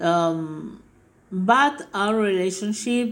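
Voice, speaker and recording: A very slow delivery in a Spanish accent, with ordinary pitch variation. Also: woman. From Argentina, Mendoza. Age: 60s. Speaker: filmmaker. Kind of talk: interview. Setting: video call.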